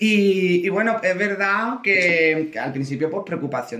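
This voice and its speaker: A man with an Andalusian accent speaks at a high pitch and a fairly slow pace. Noticeable background noise runs under his voice. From Andalusia (Córdoba). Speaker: drag queen. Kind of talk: casual chat.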